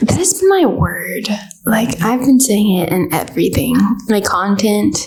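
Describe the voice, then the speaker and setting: A woman talks at a fairly slow pace in a room with audible echo and noticeable background noise. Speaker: podcast co-host. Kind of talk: casual chat. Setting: small room with neighbors next door. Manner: loud.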